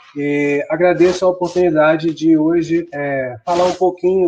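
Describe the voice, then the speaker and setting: A man with a fairly high voice speaks at a moderate pace with fairly even intonation. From Brazil. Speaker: computer science professor. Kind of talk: online conference talk. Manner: frequent filler hesitations.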